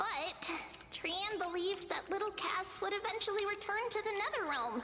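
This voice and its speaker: A put-on character voice at extremely high pitch comes through over clear background noise. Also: moderate pace. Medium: video game. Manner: cheerful, bubbly.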